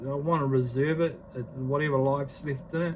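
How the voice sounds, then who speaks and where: This man has a New Zealand accent. He talks at a fairly slow pace. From New Zealand (Māori). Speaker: vlogger. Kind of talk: casual vlog talk to camera; impassioned rant. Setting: filming self on selfie stick. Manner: halting, many fillers; emphatic, impassioned.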